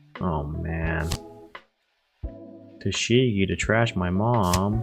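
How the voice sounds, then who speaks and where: Music plays behind a man whose very deep, low voice moves with ordinary pitch variation at a very slow pace. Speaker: card game content creator. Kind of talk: casual gameplay commentary.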